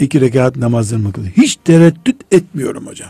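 A man speaks at a moderate pace, his medium pitch making very wide swings. His tone is dark and mellow, and somewhat breathy. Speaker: Islamic scholar. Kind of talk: religious radio talk. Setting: radio studio.

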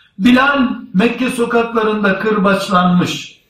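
Lively intonation marks this man's high-pitched voice, heard with audible room echo. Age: 50s. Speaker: Islamic preacher. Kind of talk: sermon. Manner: formal.

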